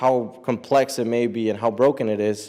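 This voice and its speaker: Dark and mellow in tone, a man's medium-pitched voice carries an American accent and ordinary pitch variation. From US, brought from Mexico at age eight. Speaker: immigrant rights advocate. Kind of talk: public speech.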